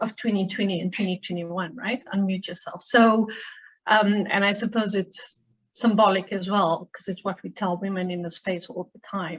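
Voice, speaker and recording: A woman's medium-pitched, somewhat breathy voice in a South African accent, fairly even in intonation, at a moderate pace. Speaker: human rights lawyer. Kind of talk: seminar talk.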